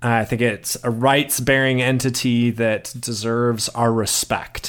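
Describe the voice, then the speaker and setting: A normal speaking voice from a man, medium in pitch, at a fairly slow pace, on a very clean recording with a silent background. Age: 30s. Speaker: writer and ethics doctoral student. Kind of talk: interview.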